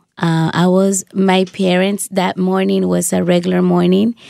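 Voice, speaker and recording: A woman with a Spanish accent, recorded with a dry, close sound and no echo. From Dominican Republic. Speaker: shoebox recipient, radio worker. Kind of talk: testimony. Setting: studio.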